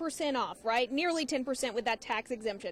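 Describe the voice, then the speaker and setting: Lively intonation in an American accent at a fairly quick pace, over noticeable background noise. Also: woman. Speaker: television news reporter. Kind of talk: live field report, on-scene to camera. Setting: outdoors on location. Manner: conversational, direct to viewers.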